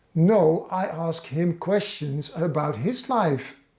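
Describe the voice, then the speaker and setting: Pitched high, a man with a Dutch accent speaks with ordinary pitch variation. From Netherlands. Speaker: fan channel host. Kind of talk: personal storytelling. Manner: halting.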